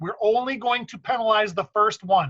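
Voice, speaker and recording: A man's high, bright and sharp voice, raised and projected, at a fairly slow pace with ordinary pitch variation and a dry, close sound free of echo. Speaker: basketball referee trainer. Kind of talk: training meeting. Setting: online meeting.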